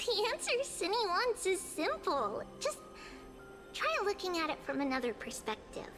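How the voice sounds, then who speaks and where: Clear music plays in the background as a woman puts on a character voice. Her pitch is extremely high and her pace moderate. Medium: game stream. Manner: lively, teasing.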